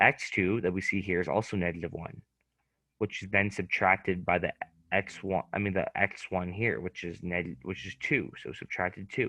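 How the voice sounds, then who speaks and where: This man's pitch is very deep and low, yet his tone comes across bright and sharp. He keeps a moderate pace with ordinary pitch variation. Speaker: student tutor. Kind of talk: tutoring lesson. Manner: talkative, verbal; halting with many fillers.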